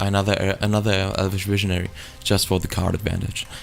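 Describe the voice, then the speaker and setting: A man with a very deep, low voice speaks in a fairly even intonation over noticeable background noise. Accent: German. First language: German. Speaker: gaming YouTuber. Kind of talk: tutorial. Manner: halting, many fillers.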